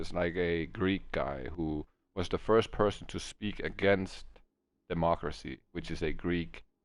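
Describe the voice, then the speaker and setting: A man's very deep, low voice in a Danish accent. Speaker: video game streamer. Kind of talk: casual chat. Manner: halting.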